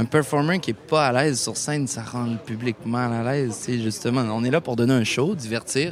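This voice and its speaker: Over crowd noise in the background, a man talks at a very slow pace in a medium pitch with ordinary pitch variation. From Quebec. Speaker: musician. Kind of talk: interview. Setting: outdoor festival.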